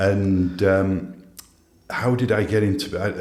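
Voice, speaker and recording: The speech moves at a very slow pace with fairly even intonation. Audible echo from the room can be heard. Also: man. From northern England (Holmfirth, Huddersfield, West Yorkshire). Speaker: business coach for CEOs. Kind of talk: podcast interview.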